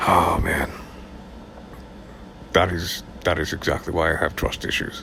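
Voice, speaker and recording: Man, noticeable background noise. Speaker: audiobook narrator. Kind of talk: casual talk to camera.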